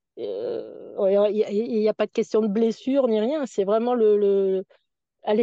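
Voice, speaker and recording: A woman with a fairly high pitch speaks at a very slow pace. Her tone is dark and mellow. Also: dry, close sound with no echo. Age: 60s. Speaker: retired nordic walking coach. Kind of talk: casual interview. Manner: hesitant, repeating words.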